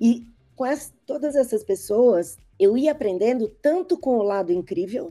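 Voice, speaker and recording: A woman talks at a fairly slow pace with a high pitch and very wide swings in it. Music plays in the background. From Brazil. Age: 60s. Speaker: advertising strategist. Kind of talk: interview podcast.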